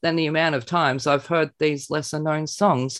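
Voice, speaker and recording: With an Australian accent, a man talks at a moderate pace with a fairly high pitch and ordinary pitch variation. The sound is dry and close, with no echo. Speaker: podcast host. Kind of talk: scripted review reading; casual chat. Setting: remote call.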